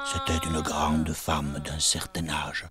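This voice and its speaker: Music plays behind a man who speaks fairly slowly in a flat monotone with a southern French accent. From Paris, France. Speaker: witness recounting childhood memories. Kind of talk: personal narration of memories.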